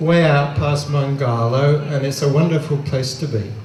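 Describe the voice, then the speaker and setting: A man with an Australian accent speaks at a fairly slow pace, his pitch fairly high for a man. Noticeable background noise and audible room echo run through the recording. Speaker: film production designer. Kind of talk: short thank-you speech. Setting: outdoors in crowd, street screening. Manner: loud, shouting.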